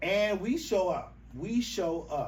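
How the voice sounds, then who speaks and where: An animated man with an American accent speaks with ordinary pitch variation, room echo audible around him. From US South, rural South Carolina. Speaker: advocacy organization representative. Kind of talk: podcast interview.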